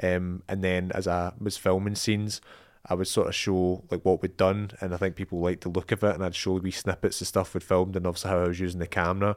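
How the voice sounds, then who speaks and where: A Scottish-accented man talks at a very fast pace in a very deep, low pitch. His intonation stays monotone and flat over a very clean recording with a silent background. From Scotland. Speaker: filmmaker. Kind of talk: podcast interview.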